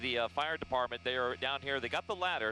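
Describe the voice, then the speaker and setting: A man at medium pitch, talking at a very fast pace over music in the background. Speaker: helicopter news reporter. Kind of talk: live aerial news report.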